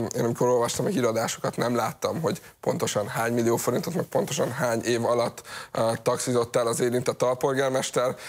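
The speech moves at a fairly quick pace with fairly even intonation. Its loudness stays very even. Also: man. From Hungary. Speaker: foundation head; guest, commentator. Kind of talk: TV panel discussion; talk show debate commentary. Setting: studio. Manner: halting, many fillers. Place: studio. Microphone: lapel.

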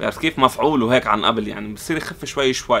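With a Lebanese accent, a man talks in a bright, sharp tone and lively intonation. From Lebanon. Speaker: YouTuber, console repair technician; repair channel host. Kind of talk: casual Q&A vlog. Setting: in his repair shop. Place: workshop.

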